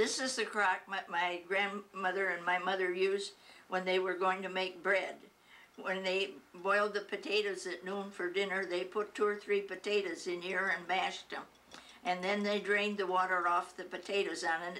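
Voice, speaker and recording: A woman talks in an American accent at a medium pitch. Her intonation is monotone and flat. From Michigan, US Midwest. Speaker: retired teacher. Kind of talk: oral history interview. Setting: at home. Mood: warm, reminiscing. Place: home room. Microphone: camera far.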